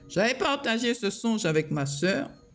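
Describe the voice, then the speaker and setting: A woman speaks at a medium pitch with very wide pitch swings. Her pace is very slow. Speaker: prophetess preacher. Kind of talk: prophetic sermon. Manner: speaking loudly with effort.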